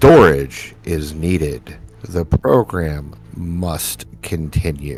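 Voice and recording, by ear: A man's put-on, robotic character voice, very deep and low in pitch, at a very slow pace over faint music in the background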